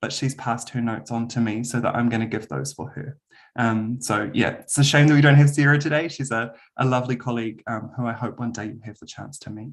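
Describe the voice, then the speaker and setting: With a New Zealand accent, a man talks at a fairly quick pace and medium pitch with ordinary pitch variation, over a quiet background. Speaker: university lecturer. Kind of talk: webinar presentation. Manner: hesitant, many filler ums.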